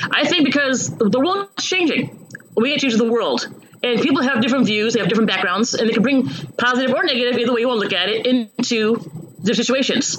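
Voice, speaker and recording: A woman with an American accent talks at a very fast pace in a high pitch, with lively intonation and very even loudness, amid noticeable background noise and audible room echo. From US Midwest, Chicago suburbs. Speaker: county board candidate and employment counselor. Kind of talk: interview. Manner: halting.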